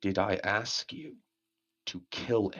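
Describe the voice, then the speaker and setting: A man's growling, put-on character voice at a fairly slow pace. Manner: menacing, dripping with malice.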